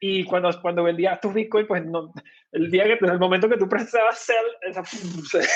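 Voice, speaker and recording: A Venezuelan accent, fairly even intonation, and a moderate pace. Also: man, high pitch for a man. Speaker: bitcoin company co-founder. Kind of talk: podcast interview. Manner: hesitant, many fillers.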